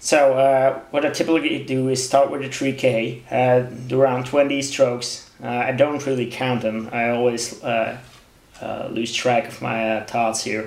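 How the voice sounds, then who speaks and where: A man with a non-native accent speaks at a medium pitch and a fairly slow pace, in a monotone with flat intonation. Noticeable background noise and audible room echo fill the recording. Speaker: knife sharpening hobbyist. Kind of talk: tutorial. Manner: halting, many fillers.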